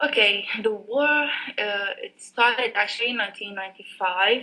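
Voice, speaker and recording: A woman speaks with an Arabic accent. Her intonation stays fairly even. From Sudan. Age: 20s. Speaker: software engineer and former lecturer. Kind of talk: casual interview. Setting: Skype call.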